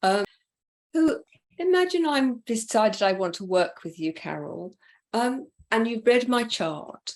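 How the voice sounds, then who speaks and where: A woman's fairly high pitch, very wide pitch swings, a fairly slow pace and long, frequent pauses. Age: 60s. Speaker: interview host and coach. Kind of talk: interview conversation.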